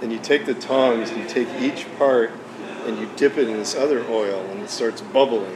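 Male voice with an American accent, medium pitch, ordinary pitch variation and a moderate pace over noticeable background noise. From US Midwest (Detroit). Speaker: retired watch collector. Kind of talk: casual chat.

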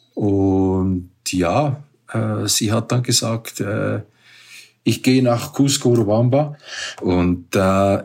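The man's intonation rises and falls in a lively way. He speaks very slowly. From Switzerland. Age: 60s. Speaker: paragliding pilot and hotel owner. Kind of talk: interview. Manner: halting.

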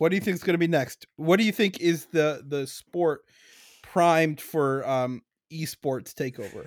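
A man with an unremarkable speaking voice and a fairly high pitch talks at a fairly slow pace with ordinary pitch variation, in a dry, close sound with no echo. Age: 20s. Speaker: podcast host. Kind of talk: casual comedic chat.

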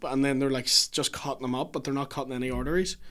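Very fast, monotone speech with flat intonation from a man at medium pitch, in a Northern Irish accent, on a very clean recording with a silent background. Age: 30s. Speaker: comedian. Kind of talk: casual chat.

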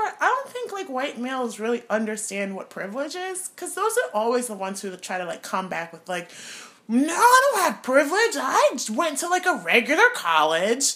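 A woman speaks in a raised, projected, animated voice, high-pitched with very wide pitch swings, at a moderate pace over noticeable background noise. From Trinidad. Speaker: podcast co-host. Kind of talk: casual chat. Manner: animated, joking.

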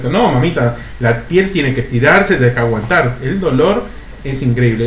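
A man rattles through his words very fast, with noticeable background noise and audible echo from the room. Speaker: podcast co-host. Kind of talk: casual chat.

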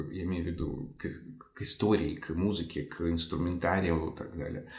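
A man talks at a moderate pace in a very deep, low voice. His voice is somewhat breathy. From Ukraine. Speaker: violinist and conductor. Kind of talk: interview discussion of music. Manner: hesitant, filler words.

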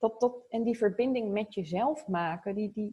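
Somewhat breathy and fairly high-pitched, a woman talks at a moderate pace. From Zoetermeer, near The Hague, Netherlands. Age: 30s. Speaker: marketing consultant. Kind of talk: casual interview.

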